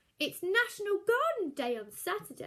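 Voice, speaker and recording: A put-on character voice from a woman, extremely high-pitched with very wide pitch swings, at a moderate pace. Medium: read story.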